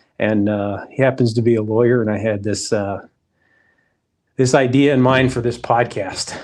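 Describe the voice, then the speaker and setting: This man has an unremarkable speaking voice, medium in pitch, with fairly even intonation and a moderate pace. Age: middle-aged. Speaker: podcast host. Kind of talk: casual interview.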